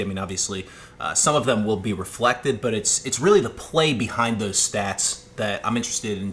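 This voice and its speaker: There is noticeable background noise as a man with a medium pitch talks at a very fast pace. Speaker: podcast co-host. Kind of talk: casual chat. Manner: smooth-speaking.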